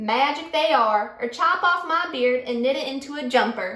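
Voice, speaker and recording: A croaky, put-on character voice moves at a moderate pace. There is a slight echo. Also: woman, high pitch for a woman. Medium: read story.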